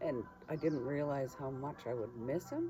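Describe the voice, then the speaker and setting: Over noticeable background noise, a woman talks at a moderate pace in a very deep, low pitch. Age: 60s. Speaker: retired traveller and artist. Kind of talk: casual chat.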